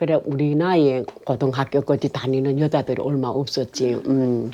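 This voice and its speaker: A woman with a very deep, low pitch speaks at a moderate pace with fairly even intonation over noticeable background noise. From Korean-Chinese, Yanbian region of China. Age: 80s+. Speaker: North Korean defector. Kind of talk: life story interview. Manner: halting.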